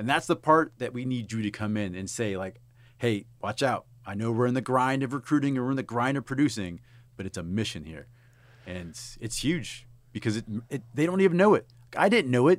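On a very clean recording with a silent background, a man with a normal speaking voice and an American accent talks at a medium pitch and fairly quick pace with lively intonation. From South Texas. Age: 30s. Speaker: army veteran, recruiting executive. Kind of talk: casual chat.

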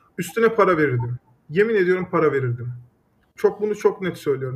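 A man talks with lively intonation in a high pitch. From Turkey, Düzce. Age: 30s. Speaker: startup founder. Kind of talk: interview. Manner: hesitant with frequent fillers.

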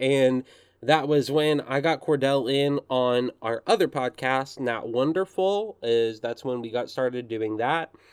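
This man has an ordinary speaking voice with an American accent, pitched fairly high and moving at a fairly slow pace with lively intonation. The sound is dry and close, with no echo. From US South, Arkansas. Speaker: podcast host. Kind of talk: casual chat.

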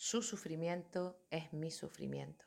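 This is a woman speaking. Her voice sits at a fairly low pitch. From Canary Islands, Tenerife. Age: 30s. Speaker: yoga teacher. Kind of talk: personal monologue. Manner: halting.

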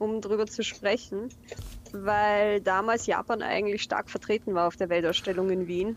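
Monotone, flat intonation from a woman at a medium pitch. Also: moderate pace, very even loudness. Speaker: translator, Japanese studies graduate. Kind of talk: casual chat. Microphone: phone microphone.

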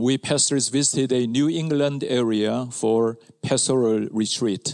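A man with a Korean accent, fairly slow, with very even loudness and fairly even intonation. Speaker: pastor. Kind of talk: sermon. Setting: church.

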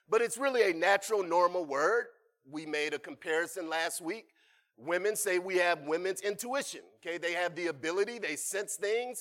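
The speaker is a man using ordinary pitch variation. His pace is moderate. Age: 40s. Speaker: preacher. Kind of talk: sermon.

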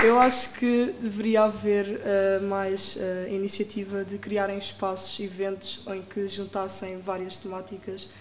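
Over noticeable background noise, a woman at medium pitch speaks in a monotone with flat intonation. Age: 20s. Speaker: audience member, communication student. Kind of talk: live audience comment. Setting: live recording with audience.

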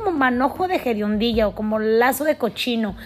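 A woman's high voice sounds animated in tone amid noticeable background noise. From Mexico. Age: 40s. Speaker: podcast host. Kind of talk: motivational monologue.

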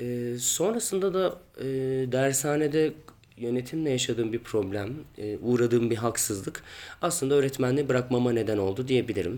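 This man has a medium pitch and an unremarkable speaking voice. He talks at a moderate pace with ordinary pitch variation. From Turkey, Ankara. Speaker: stage actor. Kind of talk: interview answers.

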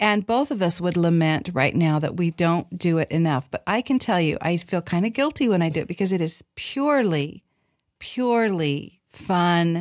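A woman with an unremarkable speaking voice, fairly low in pitch, talks at a moderate pace with lively intonation and very even loudness, in a dry, close sound with no echo and a quiet background. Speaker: podcast host. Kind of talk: casual chat.

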